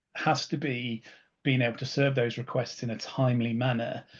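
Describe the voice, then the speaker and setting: A man with a British accent, medium pitch, a somewhat breathy voice, fairly even intonation and a moderate pace. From UK. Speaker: solutions architect. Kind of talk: webinar presentation. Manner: halting, many fillers.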